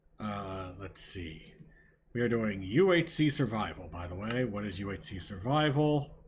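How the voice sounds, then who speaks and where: With audible room echo, a man with a fairly low, somewhat breathy voice speaks at a moderate pace, using lively intonation and big swings in loudness. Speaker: gaming streamer. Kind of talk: live gameplay commentary. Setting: live stream. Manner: stuttering, repeats words; casual, chatty.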